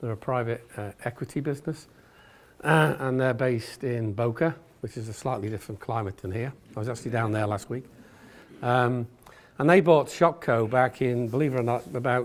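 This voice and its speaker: A man at medium pitch with an English accent and ordinary pitch variation. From England. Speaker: retail executive. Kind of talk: business talk. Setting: stage with audience. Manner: fast.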